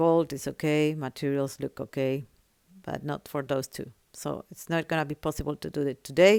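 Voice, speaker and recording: A woman with a very deep, low voice speaks at a moderate pace and with fairly even intonation, recorded very cleanly and dry and close, with no echo against a silent background. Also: big swings in loudness. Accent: non-native. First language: not English. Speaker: gaming tutorial creator. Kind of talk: tutorial.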